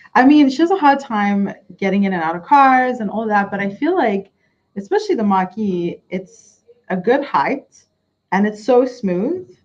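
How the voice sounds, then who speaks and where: This voice is somewhat breathy, with an American accent. The intonation is lively and the pace moderate. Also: woman, fairly high pitch for a woman. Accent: American with South African returning. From South Africa. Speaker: vlogger. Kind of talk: casual chat. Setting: retirement home.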